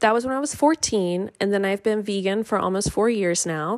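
A woman's medium-pitched voice has ordinary pitch variation. It is an ordinary speaking voice. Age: 30s. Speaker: podcast host, nutrition coach. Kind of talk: solo podcast monologue.

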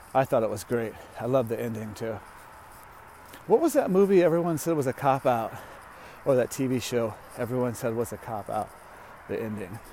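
Speaking in an American accent, a man has a medium pitch, ordinary pitch variation and a relaxed tone. He talks at a fairly quick pace but leaves long, frequent pauses. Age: 40s. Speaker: comedian podcaster. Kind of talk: casual monologue. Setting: outdoors walking on a track. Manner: relaxed, rambling with fillers.

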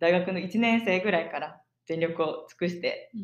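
Using a plain, everyday voice, a woman speaks at a moderate pace with a fairly low pitch and fairly even intonation. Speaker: podcast co-host, exchange student. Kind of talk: casual chat.

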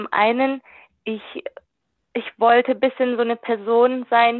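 This woman's voice sits at a fairly high pitch. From Germany, Württemberg. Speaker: youth work volunteer. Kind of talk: interview.

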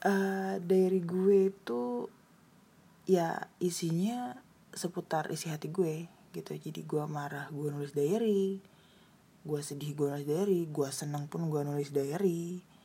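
Very slowly, a woman speaks in a very deep, low voice, dark and mellow and somewhat breathy, with ordinary pitch variation. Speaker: podcaster. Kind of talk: casual solo monologue.

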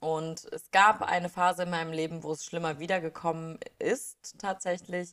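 The speaker is a woman at a moderate pace. Her intonation stays fairly even. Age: 20s. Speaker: podcast host, mindfulness and wellness. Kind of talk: personal monologue. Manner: hesitant, many filler sounds.

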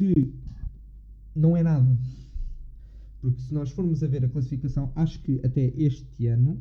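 A man's dark, mellow, somewhat breathy voice, medium in pitch, at a moderate pace with fairly even intonation and long, frequent pauses. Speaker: podcast host. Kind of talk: casual chat.

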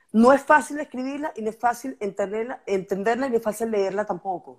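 Against a silent background in a very clean recording, a woman speaks with a fairly high pitch and lively intonation. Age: 50s. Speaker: poet. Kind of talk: casual chat.

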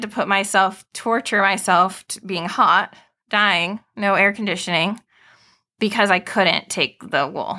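On a very clean recording with a silent background, a woman with a bright, sharp tone at medium pitch speaks at a fairly slow pace with fairly even intonation. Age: 30s. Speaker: speech-language pathologist. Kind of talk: educational interview.

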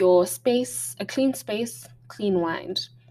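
Over noticeable background noise, a woman at a medium pitch speaks with very wide pitch swings. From Botswana, Gaborone. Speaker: podcast host, creative arts advice. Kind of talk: solo talk with tips, partly read from notes. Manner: hesitant, frequent ums and restarts.

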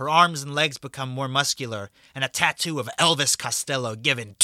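Ordinary pitch variation in a natural voice, reading aloud

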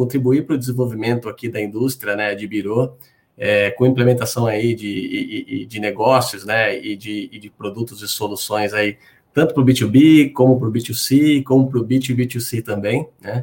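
A somewhat breathy man speaks at a moderate pace and medium pitch with fairly even intonation. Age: 40s. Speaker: credit bureau business development executive. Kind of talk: webinar conversation. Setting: video call.

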